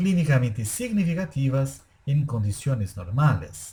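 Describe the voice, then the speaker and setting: A man speaks very slowly, somewhat breathy, with a dark, mellow tone. He has a Brazilian accent. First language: Portuguese (speaking Spanish). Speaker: anesthesiologist. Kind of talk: lecture. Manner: formal.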